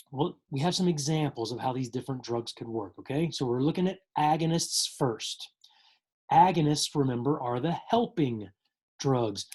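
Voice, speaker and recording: A man with a fairly high pitch speaks at a moderate pace. His voice is somewhat breathy, with lively intonation. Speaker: teacher. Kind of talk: lecture. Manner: casual, conversational.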